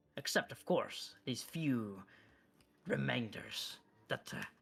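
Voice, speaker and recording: Using a put-on character voice, a man of medium pitch speaks at a very slow pace. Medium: actual play. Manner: formal, measured.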